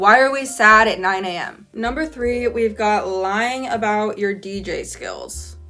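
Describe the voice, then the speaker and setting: With music in the background, a woman with an American accent talks at a fairly high pitch and ordinary pitch variation. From California. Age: 20s. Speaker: college student. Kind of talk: casual talk to camera.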